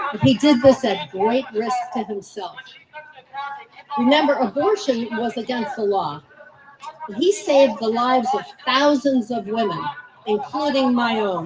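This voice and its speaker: Over noticeable background noise, a woman speaks at a fairly slow pace with a high pitch, very wide pitch swings, and long, frequent pauses. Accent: American. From New Jersey. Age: 70s. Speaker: activist speaking at a political rally. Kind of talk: personal testimony at rally. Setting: outdoor rally with audience.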